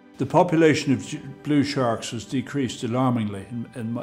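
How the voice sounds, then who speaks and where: A man speaks with ordinary pitch variation while faint music plays behind him. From Ireland. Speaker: sea angling charter operator. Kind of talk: interview answer. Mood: calm, reflective. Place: waterside.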